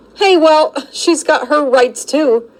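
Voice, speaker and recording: The speaker uses a put-on character voice. The intonation is lively. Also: woman, high pitch for a woman. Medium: read story. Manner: mocking, casual.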